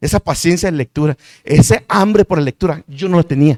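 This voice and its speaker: A man's fairly high voice sounds dry and close, without any echo. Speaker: preacher and Bible teacher. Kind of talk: sermon-style Bible teaching. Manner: fast.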